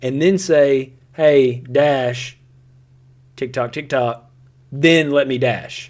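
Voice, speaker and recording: A man speaks in an animated tone. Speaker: gaming livestreamer. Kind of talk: live gameplay commentary. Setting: livestream. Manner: loud, yelling at times.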